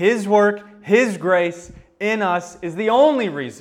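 With lively intonation and an American accent, the speaker is heard with audible room echo. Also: man. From United States. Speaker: pastor. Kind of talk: sermon.

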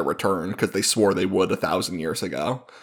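In a very clean recording with a silent background, a man talks at a fairly quick pace. He has an unremarkable speaking voice at a fairly low pitch. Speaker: podcast co-host and editor. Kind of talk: casual chat about a book.

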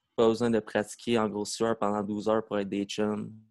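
A man at a medium pitch is heard on a very clean recording with a silent background and a dry, close sound with no echo. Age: 20s. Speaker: breakdancer. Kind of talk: casual chat.

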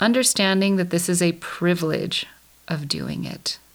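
Speaking at a fairly slow pace in an ordinary speaking voice, a woman keeps a medium pitch with ordinary pitch variation. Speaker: podcast host. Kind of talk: guided meditation. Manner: calm, slow, soothing; gentle, instructive.

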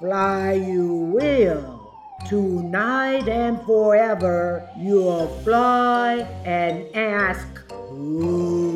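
A woman does a put-on character voice in a breathy, medium pitch. She speaks very slowly, with clear music in the background. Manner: eerie, menacing.

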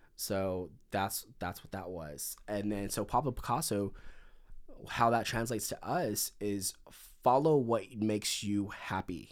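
A man with an American accent, fairly low in pitch and fairly slow in pace, on a very clean recording with a silent background. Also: ordinary pitch variation. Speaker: content creator. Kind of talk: casual chat. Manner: animated.

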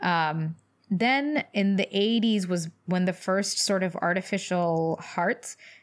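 A woman's medium-pitched voice with an American accent, a plain, everyday voice, ordinary pitch variation, very clean recording, silent background. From US South, Louisville, Kentucky. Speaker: doctor, podcast co-host. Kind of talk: casual chat.

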